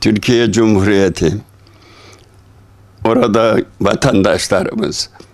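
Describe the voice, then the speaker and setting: Speaking at a very slow pace, a man with a fairly low voice keeps his intonation fairly even over a quiet background. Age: 80s+. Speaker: elderly donor. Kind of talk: interview answer. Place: office. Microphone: handheld.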